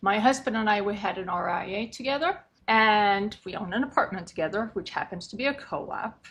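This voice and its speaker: A woman with a Swedish accent speaks at a fairly quick pace. Her pitch is fairly high, with ordinary variation. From Sweden. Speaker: condo and co-op board consultant. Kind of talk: podcast interview.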